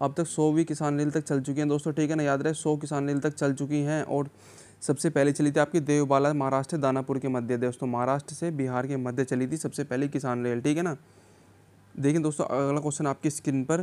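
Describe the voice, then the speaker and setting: Fairly high-pitched, a man talks with a monotone, flat intonation. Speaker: online exam-prep teacher. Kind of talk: lecture. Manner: fast; repetitive.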